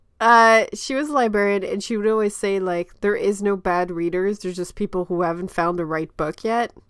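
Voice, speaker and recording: A woman speaks at a fairly quick pace with hardly any pauses, her tone animated. Her medium-pitched voice shows ordinary pitch variation on a very clean recording with a silent background. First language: French. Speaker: webcomic creator, panelist. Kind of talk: casual panel discussion. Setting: livestream.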